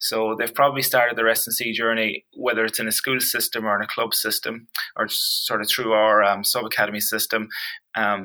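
A man with a Donegal accent talks at a fairly quick pace. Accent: Donegal Irish. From Ireland, County Donegal. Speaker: strength and conditioning coach. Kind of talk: casual interview.

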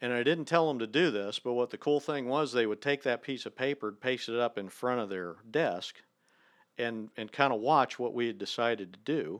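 Against a quiet background, a man with a US Midwestern accent talks at a moderate pace and medium pitch, with ordinary pitch variation and a dry, close sound free of echo. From Ohio, near Dayton. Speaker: professor. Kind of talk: casual chat. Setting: in person, on location.

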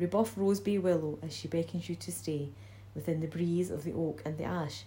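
Her voice dark and mellow with vocal fry, a woman speaks at a very deep, low pitch with very wide pitch swings. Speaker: library staff reader. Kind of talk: poem reading, ornate nature verse read aloud.

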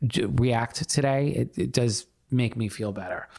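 Recorded very cleanly against a silent background, a man with an ordinary speaking voice talks at a medium pitch and a fairly slow pace. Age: 40s. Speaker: performing arts center director and playwright. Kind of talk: interview.

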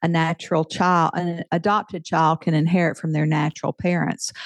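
A fairly low-pitched woman with a Southern US accent, in dry, close sound with no echo and a quiet background. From US South. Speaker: author and podcaster. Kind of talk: interview.

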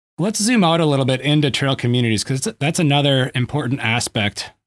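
Delivered in an ordinary speaking voice at a fairly quick pace with lively intonation, the recording is very clean with a silent background. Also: man, very even loudness. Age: 40s. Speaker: podcast host. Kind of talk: casual interview.

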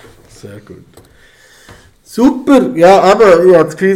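A man with a Swiss accent speaks with lively intonation. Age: 40s. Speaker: podcast host and father. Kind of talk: casual chat.

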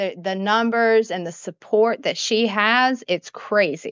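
At a fairly slow pace, a woman speaks at a fairly high pitch with ordinary pitch variation. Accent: Southern US. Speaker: gaming community member. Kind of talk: casual chat.

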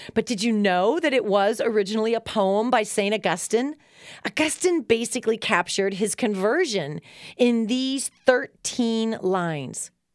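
A woman with an unremarkable speaking voice talks at a fairly high pitch with lively intonation, recorded very cleanly against a silent background. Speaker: devotional host. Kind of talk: reverent poem reading, prayerful and measured. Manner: slow, hushed, contemplative delivery; warm, encouraging.

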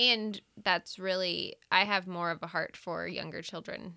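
This is a very clean recording with a silent background. A woman speaks at a fairly slow pace. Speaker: pastor's wife. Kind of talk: casual chat. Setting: studio. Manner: soft-spoken.

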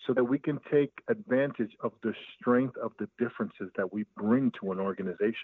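A man in an American accent uses lively intonation at medium pitch and a moderate pace, in an ordinary speaking voice. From Brooklyn, New York. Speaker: business owner and coach. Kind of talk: interview conversation.

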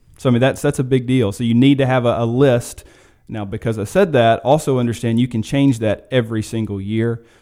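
Using an ordinary speaking voice, this man keeps his intonation fairly even as he talks at a fairly quick pace. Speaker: financial advisor. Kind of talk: radio interview discussion.

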